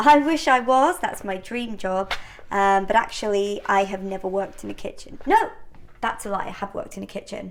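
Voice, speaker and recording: A woman speaks at a medium pitch and a moderate pace, with ordinary pitch variation, against noticeable background noise. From northern England. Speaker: home baking vlogger. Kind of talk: casual cooking vlog chat. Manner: chatty, conversational with fillers.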